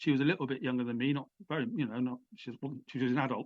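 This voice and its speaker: A man with an English accent speaks at a medium pitch with fairly even intonation. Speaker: author and former prisoner. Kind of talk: interview. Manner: halting.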